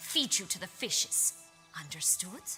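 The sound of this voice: Putting on a character voice, a woman speaks at a fairly low pitch and a fairly slow pace, with big pitch swings, a bright, sharp tone and faint music in the background.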